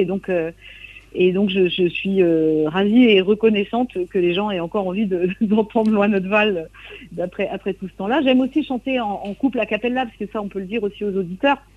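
With ordinary pitch variation, a woman speaks at medium pitch and a moderate pace. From Brittany, coastal Trégor. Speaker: singer and songwriter. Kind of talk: radio interview. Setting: remote interview from Brittany. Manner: halting, many repetitions.

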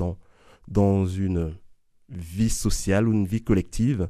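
A man speaks with a fairly low pitch and a dark, mellow tone, showing ordinary pitch variation. The recording is very clean, with a silent background. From Ivory Coast. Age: 40s. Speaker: Jesuit and math teacher. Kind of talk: testimony. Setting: studio.

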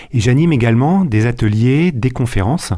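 A man speaks at a medium pitch with a dark, mellow tone and ordinary pitch variation. The recording is very clean, the background silent. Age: 40s. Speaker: wealth management adviser and author. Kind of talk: radio interview. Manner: halting, with frequent repetitions and fillers.

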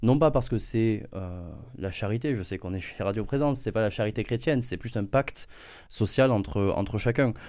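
Medium in pitch, a man speaks at a moderate pace with a dark, mellow tone. The recording is very clean, with a silent background. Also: ordinary pitch variation. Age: young. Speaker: political activist. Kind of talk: radio debate.

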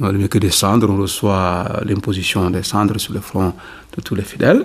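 Fairly low male pitch, moderate tempo, from a man. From Senegal, Ziguinchor region (south). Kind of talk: radio interview. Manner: halting.

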